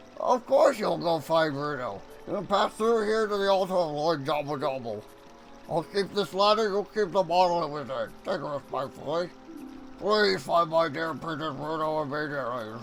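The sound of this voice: A man puts on a character voice, strained and fairly high-pitched, with lively intonation. He keeps a moderate pace, and the background noise is clear.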